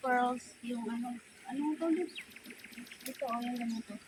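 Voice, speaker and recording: Against noticeable background noise, a woman talks at a fairly slow pace and a high pitch, with ordinary pitch variation. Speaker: vlogger. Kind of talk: casual vlog narration. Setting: outdoors. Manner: animated.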